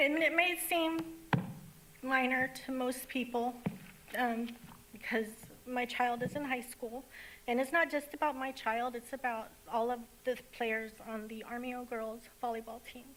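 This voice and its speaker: A woman speaks in a high, shaky voice with fairly even intonation, leaving long, frequent pauses. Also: moderate pace. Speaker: parent, public commenter. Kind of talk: public comment speech.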